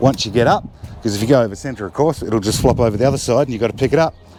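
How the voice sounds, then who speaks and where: A man with an Australian accent and ordinary pitch variation, heard over noticeable background noise. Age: 60s. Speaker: motorcycle vlogger. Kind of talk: casual vlog talk.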